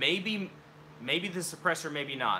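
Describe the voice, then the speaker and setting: Over noticeable background noise, a man mumbles at a moderate pace. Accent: Oklahoma. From Oklahoma. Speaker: gun hobbyist streamer. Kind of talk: live stream Q&A. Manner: casual, mumbling.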